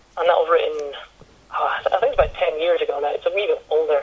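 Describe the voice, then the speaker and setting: Someone speaks with a Highland Scottish accent at a fairly quick pace. Background noise is noticeable. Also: man. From Scottish Highlands. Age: 20s. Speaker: online business owner. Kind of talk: interview.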